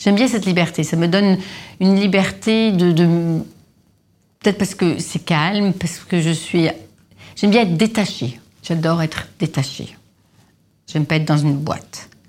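A woman's fairly low voice at a moderate pace, with ordinary pitch variation, long and frequent pauses, and a very clean recording with a silent background. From Lebanon (Beirut). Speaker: perfumer. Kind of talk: interview. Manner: hesitant with fillers.

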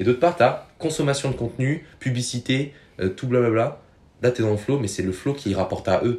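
With an animated tone, a man with a medium pitch speaks somewhat breathily and with ordinary pitch variation. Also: moderate pace. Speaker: podcast guest. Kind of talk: casual chat.

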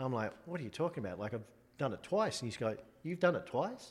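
A man with an Australian accent, fairly high in pitch, very fast and full of lively intonation. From Australia (Sydney). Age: 40s. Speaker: golf caddy. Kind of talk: casual interview. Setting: in a house.

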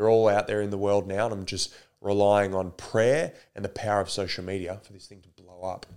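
The delivery is fairly quick and monotone, flat in intonation, with an Australian accent. The recording is very clean, with a silent background. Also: man, fairly low pitch for a man, big swings in loudness. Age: 20s. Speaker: actor and entrepreneur. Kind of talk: casual chat. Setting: at his home.

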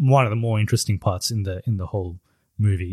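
A somewhat breathy male voice at a fairly quick pace, in a very clean, silent recording with a dry, close sound and no echo. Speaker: podcast host. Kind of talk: casual chat. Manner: chatty, informal.

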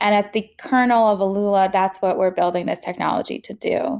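A woman's unremarkable speaking voice, medium in pitch, with an American accent, on a very clean recording with a silent background. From Queens, New York. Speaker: cancer survivor and startup founder. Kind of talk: interview.

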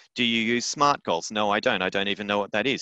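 Over a quiet background, a man with an Australian accent talks at a very fast pace in a bright, sharp tone with ordinary pitch variation, the sound dry and close with no echo. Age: 30s. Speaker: playwright and arts business educator. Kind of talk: interview. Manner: hesitant, repeats words.

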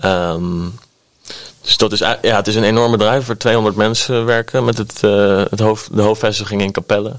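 In a normal speaking voice, a man with a fairly low pitch talks at a moderate pace with fairly even intonation. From Netherlands, Delft. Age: 20s. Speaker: record label manager and band musician. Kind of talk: interview conversation.

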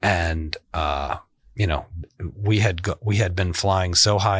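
Speaking with an American accent, a man sounds somewhat breathy at a moderate pace. His pitch varies in an ordinary way, and the background is quiet. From US Midwest, Chicago far south side. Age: 40s. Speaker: company CEO. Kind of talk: interview conversation. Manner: frequent hesitations (uh, um).

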